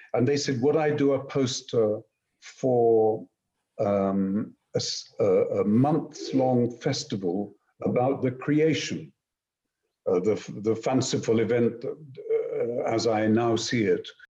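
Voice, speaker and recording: At a very slow pace and with very even loudness, a man speaks in a dark, mellow, somewhat breathy tone at medium pitch with ordinary pitch variation. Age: 70s. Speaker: classical actor and voice actor. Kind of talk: casual chat. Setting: video call.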